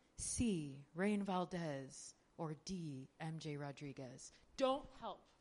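With lively intonation, a woman talks at a very slow pace in a very deep, low pitch. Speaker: actor hosting trivia. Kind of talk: trivia game hosting. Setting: stage with audience. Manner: playful, animated.

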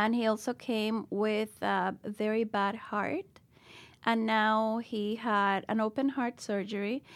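Speaking very slowly in a Spanish accent, a woman holds a fairly high pitch with monotone, flat intonation and very even loudness on a very clean recording with a silent background. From Dominican Republic. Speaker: school founder and educator. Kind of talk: interview. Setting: studio.

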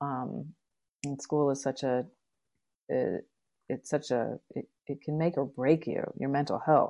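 Over a quiet background, a woman speaks slowly with long, frequent pauses, her very deep, low voice dark and mellow, fairly even in intonation and touched with vocal fry. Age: 50s. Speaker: writer and composer. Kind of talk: casual chat. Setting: remote recording. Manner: halting.

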